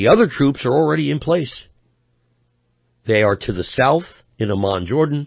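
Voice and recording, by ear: Lively intonation runs through this moderate-paced speech, which has a slightly husky edge and vocal fry. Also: man, medium pitch for a man.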